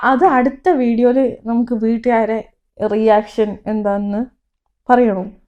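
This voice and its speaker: Fairly even intonation runs through a tone that is dark and mellow. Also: woman, fairly high pitch for a woman. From Thrissur, Kerala (Kodungallur). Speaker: medical student, vlogger. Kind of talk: casual Q&A chat.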